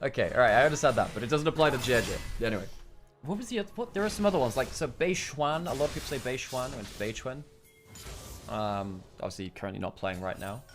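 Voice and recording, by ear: Very fast speech from a man at medium pitch with a British accent and very wide pitch swings, music in the background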